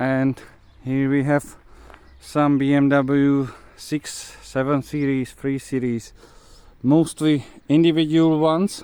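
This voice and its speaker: A man with a fairly high pitch and a dark, mellow tone speaks in a monotone with flat intonation. His pace is very slow, broken by long, frequent pauses. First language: Czech. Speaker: car mechanic and enthusiast. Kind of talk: video walkthrough of a car. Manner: halting, many fillers.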